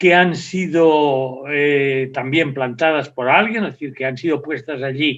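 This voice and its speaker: Speaking at a fairly high pitch, a man delivers the line. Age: 70s. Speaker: professor. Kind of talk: lecture. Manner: halting.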